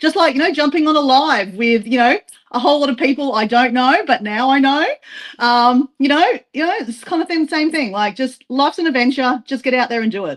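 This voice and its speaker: A woman with an Australian accent has a high pitch. She talks at a fairly quick pace. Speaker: travel vlogger. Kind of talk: casual self-introduction on a live stream. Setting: group live stream. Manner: casual, filler-heavy.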